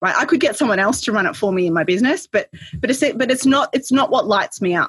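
Somewhat breathy and animated, a woman talks at a very fast pace with lively intonation, in a dry, close sound with no echo. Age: 40s. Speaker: business consultant and author. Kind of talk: casual interview.

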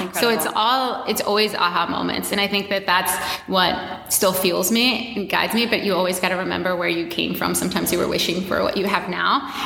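A woman with an American accent, medium in pitch, at a fairly quick pace with hardly any pauses, fairly even intonation and very even loudness, amid noticeable background noise and audible room echo. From US, Washington D.C. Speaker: run coach and fitness entrepreneur. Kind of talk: casual interview chat.

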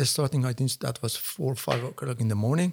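A man speaks with a Persian accent. His pitch sits in the middle range. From Iran. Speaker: author. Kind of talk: interview. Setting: studio. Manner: halting.

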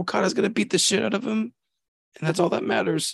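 Putting on a character voice, a man speaks at a very fast pace with a high, hoarse, raspy pitch.

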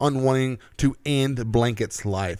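An unremarkable speaking voice moves at a fairly slow pace on a very clean recording with a silent background. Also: man. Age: 30s. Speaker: podcast co-host. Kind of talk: casual chat.

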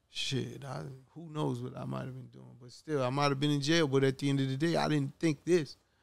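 A fairly quick delivery with a New York accent and big swings in loudness. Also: man. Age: 50s. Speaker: podcast host and music executive. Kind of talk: casual interview.

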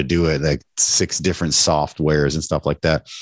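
At a moderate pace and with fairly even intonation, the speaker talks in a Canadian accent, the sound dry and close with no echo over a quiet background. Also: man. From Canada. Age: 40s. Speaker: restaurant owner and podcaster. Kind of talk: casual interview chat. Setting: podcast recording with host.

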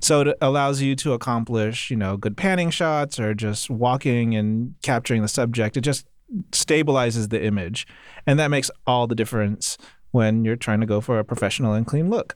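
Speaking in a plain, everyday voice, a man keeps a medium pitch, ordinary pitch variation, very even loudness and a moderate pace on a very clean recording with a silent background. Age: 30s. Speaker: podcast co-host. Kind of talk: casual chat.

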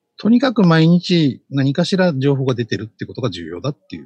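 Speaking at a fairly quick pace, a man with a fairly high, somewhat breathy voice makes very wide pitch swings, recorded with a dry, close sound and no echo. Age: 50s. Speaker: social media consultant. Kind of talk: casual chat.

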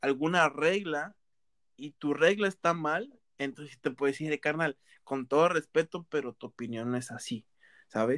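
Dry and close with no echo, the recording carries a man's bright, sharp tone and fairly high pitch at a moderate pace with ordinary pitch variation. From Mexico, Veracruz (coast). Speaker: podcast co-host. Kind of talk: casual chat.

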